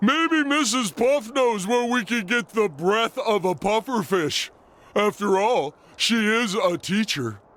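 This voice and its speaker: A cartoonish character voice moves along at a fairly slow pace. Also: man, high pitch for a man. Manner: reasoning, matter-of-fact.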